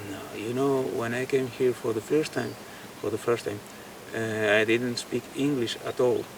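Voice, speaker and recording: Over noticeable background noise, the voice moves at a moderate pace with monotone, flat intonation. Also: man, medium pitch for a man. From Spain. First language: Spanish. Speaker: guitarist and painter. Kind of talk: interview. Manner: halting, with many fillers and repetitions.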